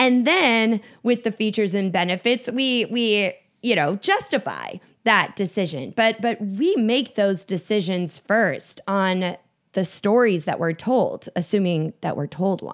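A woman speaks in an American accent at a medium pitch with a normal speaking voice. Her pace is fairly slow. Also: ordinary pitch variation, very clean recording, silent background. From Minnesota. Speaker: storytelling consultant and keynote speaker. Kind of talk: interview.

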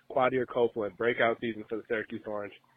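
This man speaks with an upstate New York accent. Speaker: caller, sports fan. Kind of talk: voicemail. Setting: phone call.

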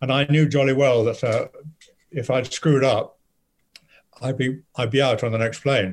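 A somewhat breathy male voice at a moderate pace, with fairly even intonation and long, frequent pauses. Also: medium pitch for a man. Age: old. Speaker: actor. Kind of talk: interview. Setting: video call.

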